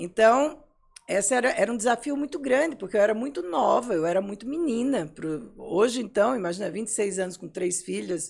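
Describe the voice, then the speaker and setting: A woman's fairly high voice at a moderate pace, with very wide pitch swings. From Brazil, Pernambuco (Recife). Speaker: psychologist and psychoanalyst. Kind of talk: interview conversation.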